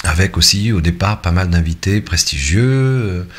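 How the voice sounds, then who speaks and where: Over noticeable background noise, a man with a very deep, low pitch speaks at a fairly slow pace with lively intonation. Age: 60s. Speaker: YouTuber and web radio host. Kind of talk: casual vlog monologue. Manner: hesitant, many fillers.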